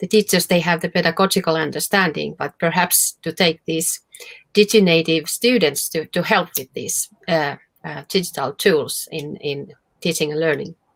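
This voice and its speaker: Speaking at a moderate pace with ordinary pitch variation, this voice has a Finnish accent and a dry, close sound with no echo. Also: woman, fairly low pitch for a woman. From Finland. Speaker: professor. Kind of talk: Q&A after a conference talk. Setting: video call to a virtual conference. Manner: halting, many fillers.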